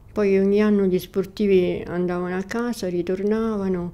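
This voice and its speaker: A woman's dark, mellow voice at a fairly quick pace, in a monotone, flat intonation. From Rome, Italy. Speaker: widow of a Paralympic athlete, former nurse. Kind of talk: personal reminiscence interview. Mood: calm, reflective reminiscing. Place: home room.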